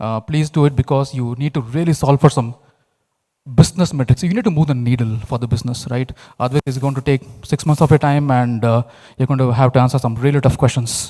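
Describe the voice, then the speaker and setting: A man talks at a very fast pace with a dark, mellow tone. He sounds somewhat breathy, in a dry, close sound with no echo. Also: medium pitch for a man. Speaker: product marketing head, conference speaker. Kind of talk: conference talk.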